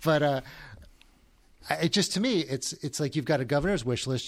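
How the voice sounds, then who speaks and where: Speaking at a fairly quick pace, a man with a New Jersey accent shows ordinary pitch variation. The recording is very clean, with a silent background. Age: 40s. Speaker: podcast host. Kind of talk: interview. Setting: studio. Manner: halting.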